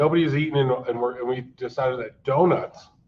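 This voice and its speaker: Putting on a raspy character voice, a man talks at a fairly quick pace with a medium pitch and fairly even intonation. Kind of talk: casual. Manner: eating while talking, mouth full.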